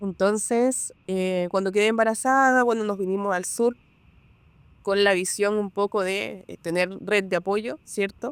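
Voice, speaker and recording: In a normal speaking voice, a woman of medium pitch speaks at a fairly slow pace with fairly even intonation. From Peru. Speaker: real estate broker. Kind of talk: podcast interview.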